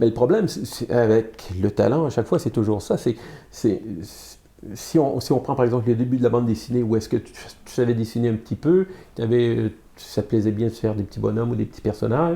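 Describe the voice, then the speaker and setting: Somewhat breathy and dark, mellow in tone, a man speaks at medium pitch and a fairly quick pace, with ordinary pitch variation. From Quebec, Montreal. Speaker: comic book artist and publisher. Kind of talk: interview. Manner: halting, many fillers and repetitions.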